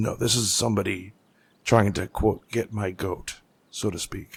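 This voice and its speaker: Doing a put-on character voice, a man speaks in a raspy, fairly low pitch with monotone, flat intonation at a moderate pace. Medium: actual play.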